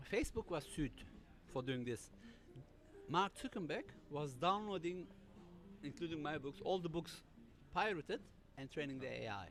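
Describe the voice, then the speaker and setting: A man with a German accent speaks in a fairly high voice with vocal fry. His pitch swings very widely, broken by long, frequent pauses. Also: moderate pace. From Germany. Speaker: cybersecurity author. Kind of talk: panel interview. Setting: live stream. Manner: halting.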